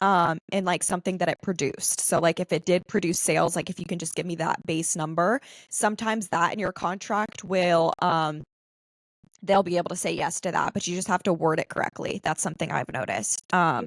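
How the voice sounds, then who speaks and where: At a fairly quick pace, a woman speaks at a fairly low pitch with fairly even intonation, on a very clean recording with a silent background and a dry, close sound with no echo. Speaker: podcast host and UGC creator. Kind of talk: casual interview chat. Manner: monotone.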